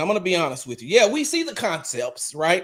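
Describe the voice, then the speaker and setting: A man speaks loudly at a moderate pace. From Texas. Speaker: sports podcast host. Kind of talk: casual sports talk show. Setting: home, wife sleeping in other room. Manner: animated.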